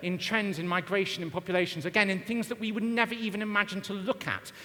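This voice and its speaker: A man talks with a high pitch and ordinary pitch variation. Noticeable background noise sits behind him. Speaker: marketing consultant and conference speaker. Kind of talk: conference talk. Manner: fast.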